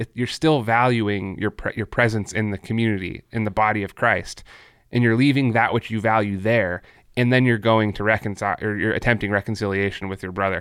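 A man with an ordinary speaking voice and fairly low pitch talks at a fairly quick pace with fairly even intonation. The recording is very clean, with a silent background. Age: 30s. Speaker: podcast host. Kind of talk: casual discussion.

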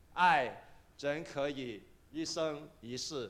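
This man's pitch moves in an ordinary way. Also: very clean recording, silent background. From Kaiping, Guangdong, China. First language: Cantonese (Taishanese/Kaiping) (speaking Chinese). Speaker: pastor. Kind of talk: sermon.

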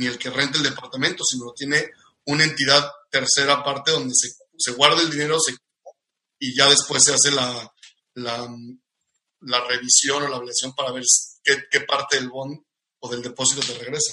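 The man speaks at a moderate pace in a fairly high, monotone, flat voice. Long, frequent pauses break up his speech. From Mexico, Cuernavaca. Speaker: industrial engineer and business coach. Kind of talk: casual interview.

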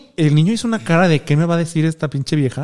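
A man with a high-pitched voice is heard on a very clean recording with a silent background. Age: 30s. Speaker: social media creator and LGBT activist. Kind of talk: casual chat.

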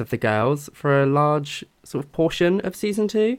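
With a British accent, a man speaks in a fairly high voice. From Britain. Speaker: podcast co-host. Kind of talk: casual chat.

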